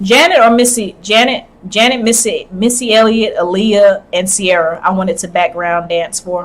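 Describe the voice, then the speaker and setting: Against noticeable background noise, a woman of medium pitch speaks at a moderate pace with ordinary pitch variation and hardly any pauses. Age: 20s. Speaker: gaming streamer. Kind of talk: casual chat. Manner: halting.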